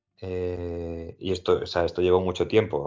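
A man with a very deep, low voice talks at a fairly slow pace. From Spain, Toledo province. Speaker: classical philologist. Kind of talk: interview. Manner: halting.

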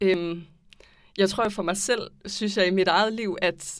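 A woman's medium-pitched voice, monotone and flat, at a fairly slow pace. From Aarhus, Denmark. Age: 20s. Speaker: anthropology student. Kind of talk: casual discussion. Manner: hesitant, many fillers.

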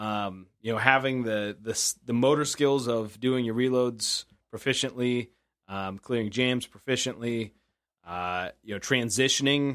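On a very clean recording with a silent background, a man speaks at medium pitch in a normal speaking voice with ordinary pitch variation. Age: 30s. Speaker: podcast co-host. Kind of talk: casual chat.

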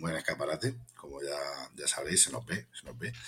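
A man speaks with lively intonation. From Spain, Cartagena (Murcia). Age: 40s. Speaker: bookseller and poet. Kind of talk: interview. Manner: hesitant, with fillers and repetitions.

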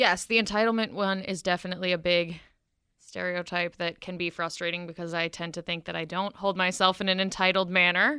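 Against a quiet background, a woman with an unremarkable speaking voice talks at a fairly quick pace in a fairly low pitch. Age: 20s. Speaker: college student, campus political club member. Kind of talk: radio interview. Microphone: told to stay close to the mic.

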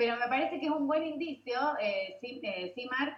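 A woman's high-pitched voice at a moderate pace. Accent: Rioplatense. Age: 40s. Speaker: digital launch expert and event organizer. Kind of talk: casual interview chat.

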